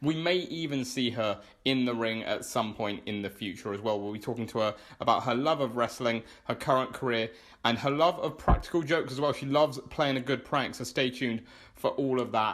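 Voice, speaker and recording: A man's plain, everyday voice at a medium pitch, with ordinary pitch variation and a fairly quick pace. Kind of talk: podcast interview host.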